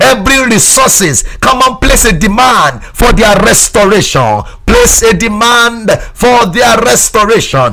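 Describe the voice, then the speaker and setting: A man talks at a fairly slow pace with very even loudness. Music plays behind him. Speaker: preacher leading prayer. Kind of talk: sermon with fervent, commanding prayer. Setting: broadcast to remote listeners. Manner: fervent, insistent, commanding; repetitive, rhythmic exhortation.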